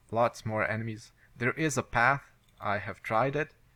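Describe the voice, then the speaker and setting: A man with a non-native accent and a bright, sharp tone, ordinary pitch variation and a fairly slow pace, in a very clean recording with a silent background. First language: not English. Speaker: video game let's play commentator. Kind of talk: gameplay commentary. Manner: halting.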